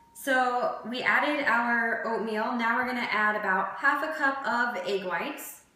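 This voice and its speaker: Noticeable background noise runs throughout. The talking is fairly slow, with ordinary pitch variation. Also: woman, fairly high pitch for a woman. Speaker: fitness cooking channel host. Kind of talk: cooking tutorial. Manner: casual, with many fillers.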